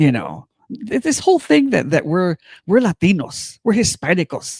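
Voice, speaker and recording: In an American accent, a man with a fairly high pitch, vocal fry, and very wide pitch swings speaks at a fairly slow pace in a dry, close sound with no echo. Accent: Mexican Southwestern. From US Southwest, Chicano background. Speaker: political podcast co-host. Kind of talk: casual political chat. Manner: animated, repetitive stammering starts.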